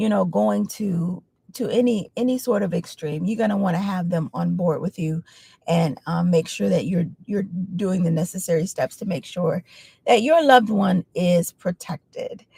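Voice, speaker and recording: At a moderate pace, a woman speaks in a somewhat breathy, dark, mellow tone with a medium pitch and ordinary pitch variation, in a dry, close sound with no echo. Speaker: caregiver sharing advice. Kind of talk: casual talk-to-camera advice. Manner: hesitant, many fillers.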